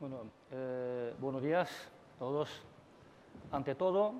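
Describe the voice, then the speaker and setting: Talking at a fairly slow pace, a man with a Chinese accent uses a fairly high pitch. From China. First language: Chinese (speaking Spanish). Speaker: university dean, Hispanist. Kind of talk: conference talk. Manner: halting, many fillers.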